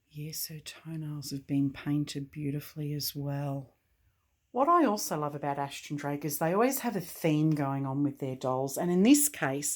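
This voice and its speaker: A woman with an Australian accent and a very deep, low pitch speaks at a moderate pace, her loudness swinging widely. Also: ordinary pitch variation, very clean recording, silent background. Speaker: doll collector YouTuber. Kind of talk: product unboxing and review. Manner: animated.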